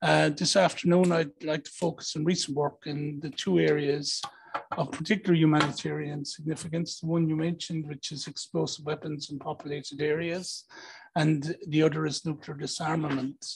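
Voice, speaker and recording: A fairly high-pitched man with an Irish accent, monotone and flat in intonation, at a moderate pace over light background noise. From Ireland. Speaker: diplomat; panelist. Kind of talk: panel talk. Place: hall. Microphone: handheld.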